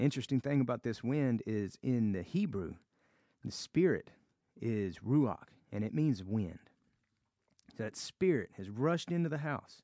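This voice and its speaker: A man speaks at a moderate pace in a Southern US accent, his pitch medium with very wide swings. Long, frequent pauses break up his speech, and the sound is dry and close with no echo. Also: quiet background. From US South. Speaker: Bible study teacher. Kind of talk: Bible study teaching.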